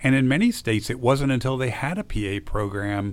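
In an American accent, a man with an unremarkable speaking voice talks at a moderate pace and medium pitch. His intonation is lively, and the recording is very clean with a silent background. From New Jersey. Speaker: physician assistant educator. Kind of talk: interview.

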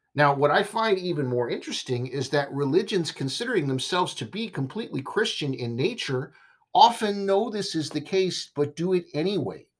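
A man speaks with a West Coast US accent and a fairly high pitch. His pitch swings very widely, and the recording is very clean with a silent background. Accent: General American, West Coast. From Southern California. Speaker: podcast host. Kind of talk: solo monologue commentary.

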